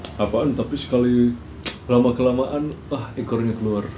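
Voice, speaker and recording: Over noticeable background noise and audible room echo, a man speaks at a fairly slow pace in a medium pitch. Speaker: podcast co-host. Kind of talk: casual chat.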